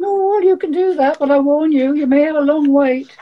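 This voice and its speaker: A put-on character voice, pitched high. It moves at a fairly quick pace. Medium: stage play.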